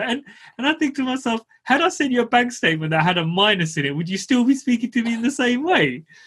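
A man speaks with a London accent at a fairly quick pace. His pitch swings very widely. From East London. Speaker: podcast host. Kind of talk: casual interview.

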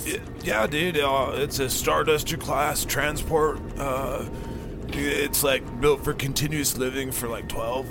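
Over loud background noise, a man drawls very slowly in a put-on character voice at a fairly high pitch. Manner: laid-back surfer-bro drawl, says dude and bro constantly.

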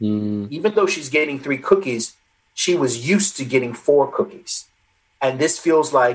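With lively intonation, a man talks in an ordinary speaking voice at a fairly high pitch. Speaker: social psychologist and author. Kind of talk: interview conversation. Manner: articulate, explanatory.

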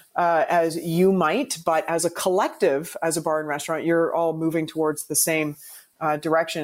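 A woman speaks in an ordinary speaking voice with a Canadian accent. Her pitch is fairly low and her pace moderate. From Canada, Toronto. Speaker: bartender and cocktail ambassador. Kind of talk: casual chat. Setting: video call.

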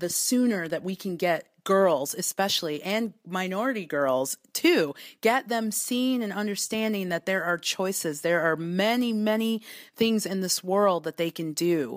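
An ordinary speaking voice moves at a fairly slow pace with lively intonation. The recording is very clean and the background silent. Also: woman, medium pitch for a woman. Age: 40s. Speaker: business owner. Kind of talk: interview.

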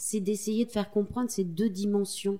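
Fairly high in pitch, a woman speaks with fairly even intonation and a dark, mellow tone. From Corrèze, France. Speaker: magazine co-founder and journalist. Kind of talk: interview. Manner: halting.

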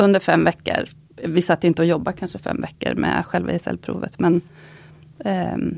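A woman with an Östergötland accent, the sound dry and close with no echo. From Östergötland, Linköping. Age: 50s. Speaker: goldsmith. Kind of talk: casual interview.

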